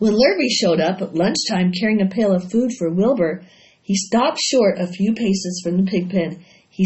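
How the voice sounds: A natural reading voice carries ordinary pitch variation throughout.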